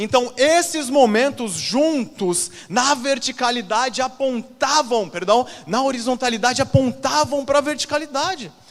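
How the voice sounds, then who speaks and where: Animated in tone, a man with an extremely high pitch speaks at a fairly slow pace and ordinary pitch variation. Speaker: pastor. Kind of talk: sermon.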